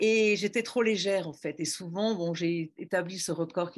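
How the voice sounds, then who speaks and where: Quiet background behind a woman speaking with ordinary pitch variation. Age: 60s. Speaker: former speed skier. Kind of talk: testimony. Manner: hesitant, many fillers.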